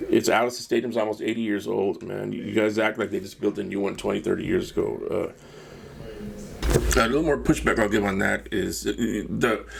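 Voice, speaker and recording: Over noticeable background noise, a man speaks at a moderate pace with hardly any pauses. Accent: American. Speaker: podcast host. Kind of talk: opinionated rant.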